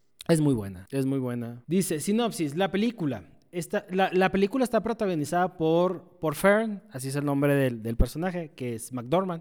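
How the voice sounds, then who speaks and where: In a Mexican accent, a man with a fairly high pitch talks with lively intonation. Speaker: podcast co-host. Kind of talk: casual chat.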